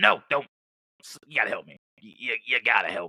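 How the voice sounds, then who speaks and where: The pace stays moderate. A man delivers the lines in a put-on character voice. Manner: pleading.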